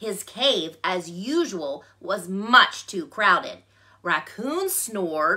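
Reading in an unforced reading voice.

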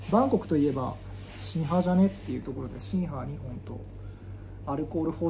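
The speech is very fast, with light background noise. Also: man. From Japan. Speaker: YouTuber, Buddhist monk; vlogger. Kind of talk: casual vlog talk; casual vlog chat. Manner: rambling, filler-heavy. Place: home room. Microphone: phone near.

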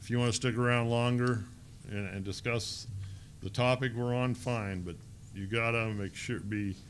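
At a moderate pace broken by long, frequent pauses, a man with a medium pitch keeps his intonation fairly even over light background noise. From Ohio. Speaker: lay church leader leading Bible study; presenter. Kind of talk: Bible study and prayer. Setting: conference room with audience. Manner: halting, many fillers. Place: hall. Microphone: podium.

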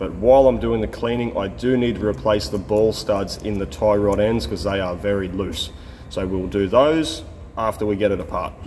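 A man with a plain, everyday voice speaks at a fairly low pitch with lively intonation over light background noise. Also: moderate pace. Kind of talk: tutorial. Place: workshop. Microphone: phone near.

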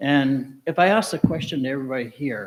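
This is an unremarkable speaking voice, from a man. His pitch is fairly high, with ordinary pitch variation. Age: 60s. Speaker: audience member asking a question at a candidates forum. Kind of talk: public forum question. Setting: auditorium with audience.

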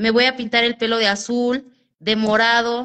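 Against a quiet background, a woman speaks with a Mexican accent. Her pitch is fairly high and her pace fairly slow. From Mexico. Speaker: vlogger. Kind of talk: casual livestream chat. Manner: animated. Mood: relaxed, confiding. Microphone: phone near.

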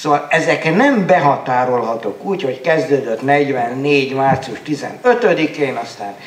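Very slow, lively-intoned speech from a man with a fairly high pitch, amid audible room echo and light background noise. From Pápa, Hungary; Hungary. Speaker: novelist; panelist. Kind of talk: panel discussion; panel discussion answer. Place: hall. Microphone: handheld.

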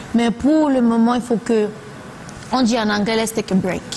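A woman with fairly high pitch and ordinary pitch variation, over light background noise. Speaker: singer; guest. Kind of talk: TV talk show interview. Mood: relaxed, candid. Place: studio.

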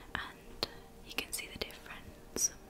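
Someone talks at a very slow pace against loud background noise. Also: woman. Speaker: ASMR creator playing a hairdresser. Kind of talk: ASMR roleplay, personal attention. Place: home room.

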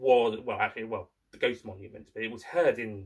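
A man speaks at a fairly quick pace with ordinary pitch variation over a quiet background. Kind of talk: casual vlog chat. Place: home room. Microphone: webcam.

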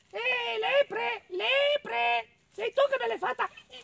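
A man in a cartoonish character voice speaks slowly at an extremely high pitch with ordinary pitch variation, vocal fry, and a bright, sharp tone, in a dry, close sound with no echo.

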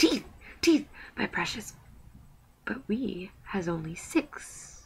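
Whispering and hissing in a put-on character voice, the speaker goes at a very slow pace. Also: man. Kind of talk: reading aloud with character voices.

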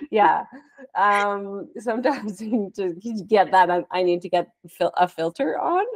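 A fairly slow delivery in a Canadian accent, with ordinary pitch variation, dry sound with no echo and a quiet background. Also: woman. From Canada. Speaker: podcast host and artist; podcast host. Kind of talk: casual chat. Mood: relaxed, friendly. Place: home room. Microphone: earbuds.

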